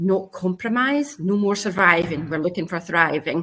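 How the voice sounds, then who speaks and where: A woman with a Scottish accent, fairly low in pitch, at a moderate pace. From Scotland. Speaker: career coach. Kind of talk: panel discussion.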